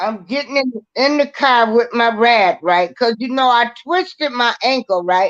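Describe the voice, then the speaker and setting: A woman speaks in a high voice with an animated tone and lively intonation. Her pace is fairly slow. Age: 60s. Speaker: podcast host. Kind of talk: casual chat.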